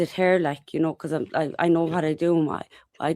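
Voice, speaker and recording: In a very clean recording with a silent background and a dry, close sound with no echo, a woman speaks at a moderate pace with an Irish accent. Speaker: activist interviewee. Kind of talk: interview.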